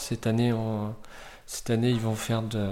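Noticeable background noise runs through the clip. The intonation is monotone and flat. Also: man. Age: 40s. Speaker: volunteer host parent. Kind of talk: interview.

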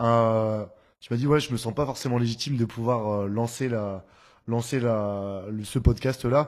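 Against a quiet background, a man with an ordinary speaking voice talks fairly slowly at medium pitch with fairly even intonation. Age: 20s. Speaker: podcast host and DJ. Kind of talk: casual interview.

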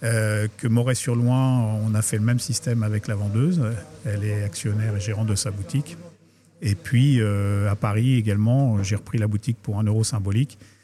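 Fairly low male pitch, fairly even intonation and a moderate pace. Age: 50s. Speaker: chocolate company owner. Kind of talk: interview. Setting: chocolate shop next to workshop. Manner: hesitant, many fillers.

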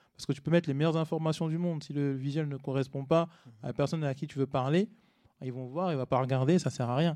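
Dark and mellow in tone, a man talks at a very fast pace with fairly even intonation. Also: fairly high pitch for a man. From Paris region, France (Cergy-Pontoise). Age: 30s. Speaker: content creator. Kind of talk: casual chat.

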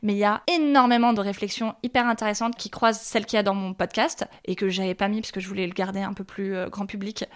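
At a very fast pace, a woman with a medium pitch speaks with hardly any pauses. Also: ordinary pitch variation. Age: 30s. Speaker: journalist and podcast creator. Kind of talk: interview.

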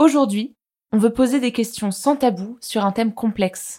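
On a very clean recording with a silent background, a woman with a fairly high pitch speaks fairly slowly in a dark, mellow, somewhat breathy tone with ordinary pitch variation. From France. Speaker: podcast host. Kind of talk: casual discussion.

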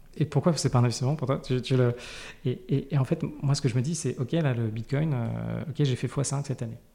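Here a man speaks at a medium pitch with ordinary pitch variation. His tone is dark and mellow, and somewhat breathy. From Paris. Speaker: personal finance guest, frugalism advocate. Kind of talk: interview. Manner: hesitant, many fillers.

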